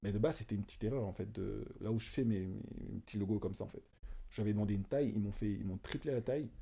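Talking very fast, a man keeps fairly even intonation in a dark, mellow, fairly low voice. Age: 20s. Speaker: self-taught fashion designer; guest. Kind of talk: casual chat. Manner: halting, many fillers and repetitions. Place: home room. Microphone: studio mic.

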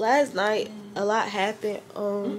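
Light background noise sits behind this woman's voice. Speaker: new mother vlogger. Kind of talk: casual vlog chat. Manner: tired, slow, low-energy speech. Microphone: phone near.

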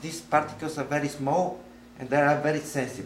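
The speaker has a Bulgarian accent. Noticeable background noise runs behind the voice. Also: man. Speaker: lecturer. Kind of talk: seminar lecture. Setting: noisy room with audience. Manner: halting.

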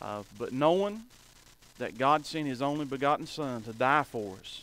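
A man speaks with ordinary pitch variation. The sound is dry, with no echo. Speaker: preacher. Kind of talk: sermon. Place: church.

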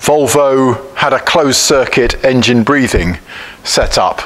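The man's delivery is very slow. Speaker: parts seller. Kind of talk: tutorial. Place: workshop.

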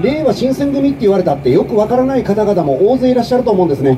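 A man speaks over background noise that is clearly noticeable. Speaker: politician at a street rally. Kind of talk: political street speech. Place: street. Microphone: pa.

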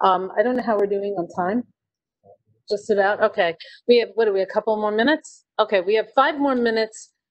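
A woman talks at a moderate pace with a fairly high pitch and ordinary pitch variation. The background stays quiet. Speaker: event host, moderator. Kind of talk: live-streamed interview and moderation. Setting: on location in a restaurant, live stream. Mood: relaxed, friendly. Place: cafe.

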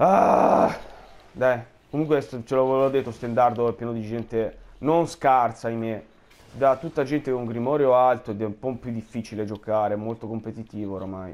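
Here is a man with a normal speaking voice. His pitch is medium. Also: ordinary pitch variation. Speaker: gamer streaming gameplay. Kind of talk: angry rant over gameplay commentary, cursing at the game. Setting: recorded gameplay voiceover. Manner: furious, exasperated, loud and cursing; shouting repeated demands, fast and sputtering.

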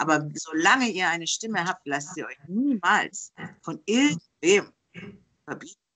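Against a quiet background, a woman speaks at a fairly slow pace in a bright, sharp tone, with lively intonation and big swings in loudness. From Germany. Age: 40s. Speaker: singer and freelance journalist interviewer; interview guest. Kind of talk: casual interview. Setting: video call. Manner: halting, many fillers. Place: home room. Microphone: video call.

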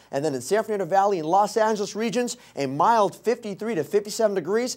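A man with a high voice and ordinary pitch variation talks at a very fast pace. The background is quiet. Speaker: meteorologist. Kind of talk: TV weather forecast. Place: studio.

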